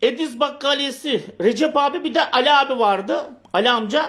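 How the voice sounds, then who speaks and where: A man speaks with an extremely high pitch. The recording is very clean, with a silent background. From Turkey, Bursa. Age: 50s. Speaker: local politician. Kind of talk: political livestream commentary.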